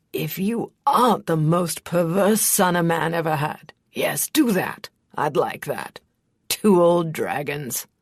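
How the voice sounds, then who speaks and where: A raspy, gruff put-on character voice at a middle pitch and a fairly slow pace. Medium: read story. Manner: gruff, blunt.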